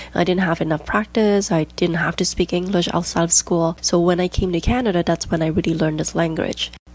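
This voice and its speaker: Over noticeable background noise, a woman speaks at a fairly quick pace. Her pitch is fairly low, her intonation fairly even. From Hong Kong. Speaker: podcast host, diastasis recovery coach. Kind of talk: casual podcast monologue.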